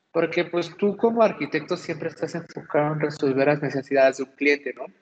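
This is a man speaking. His intonation is lively. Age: 30s. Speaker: café owner. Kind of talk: interview.

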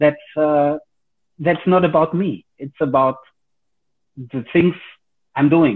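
With long, frequent pauses, a man talks at a very slow pace with a fairly high pitch and ordinary pitch variation. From Germany. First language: German. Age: 40s. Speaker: karate instructor. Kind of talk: casual interview. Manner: hesitant, many fillers.

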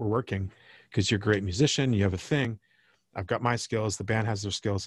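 A man with an American accent speaks at a fairly low pitch, somewhat breathy, in a dry, close sound with no echo. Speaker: record producer. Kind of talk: casual chat. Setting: video call.

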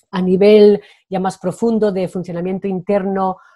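Speaking in a Spanish accent at a moderate pace, a woman is heard in a dry, close sound with no echo. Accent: Spanish (Spain). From Spain. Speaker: Spanish teacher. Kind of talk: interview.

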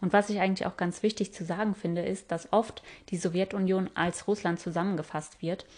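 A woman speaks at a fairly quick pace in a medium pitch. Her intonation is monotone and flat. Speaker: travel podcaster. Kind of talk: solo travel podcast narration.

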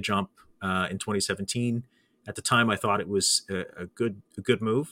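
With a Canadian accent and a bright, sharp tone, a man talks at a moderate pace with fairly even intonation, on a very clean recording with a silent background and a dry, close sound with no echo. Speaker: podcast host, former broadcaster. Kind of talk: casual interview chat. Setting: studio, live show.

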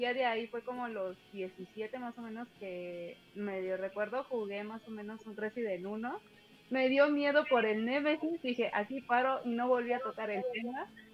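A woman's fairly high voice in a Mexican accent, at a fairly slow pace with ordinary pitch variation and big swings in loudness, against noticeable background noise. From Mexico. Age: 20s. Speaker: streamer. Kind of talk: casual chat. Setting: on mobile phone.

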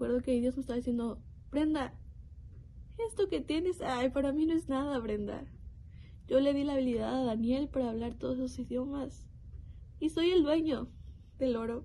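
A woman's high-pitched voice, dark and mellow in tone, at a moderate pace with long, frequent pauses. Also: ordinary pitch variation. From Mexico, Nuevo León. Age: young. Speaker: bible college student giving a devotional. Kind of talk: devotional testimony.

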